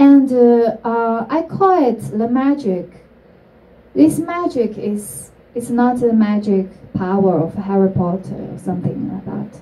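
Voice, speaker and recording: With a Chinese accent, a woman speaks at a fairly slow pace and a fairly high pitch. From China. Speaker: entrepreneur; speaker. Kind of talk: talk to an audience. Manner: halting. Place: stage.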